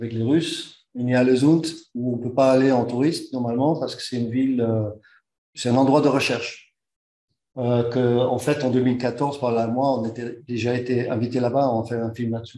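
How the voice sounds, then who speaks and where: With a Dutch accent, a man speaks at a moderate pace and medium pitch in a dark, mellow tone, his intonation monotone and flat, with audible room echo. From Netherlands. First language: Dutch (speaking French). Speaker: engineer and expedition organizer. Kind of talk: conference talk. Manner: halting.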